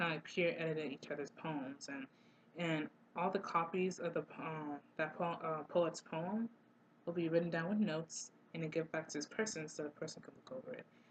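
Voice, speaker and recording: Speaking at a fairly quick pace, a woman uses a fairly low voice with ordinary pitch variation. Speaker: student poet and video creator. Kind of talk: casual talk to camera. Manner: halting, many fillers; loud. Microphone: built-in computer camera microphone.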